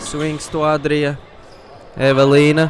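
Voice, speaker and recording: A man with a Latvian accent speaks at a fairly slow pace and a fairly high pitch. Audible room echo and noticeable background noise come through. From Latvia, Ogre. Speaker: sports commentator. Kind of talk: live commentary. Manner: animated.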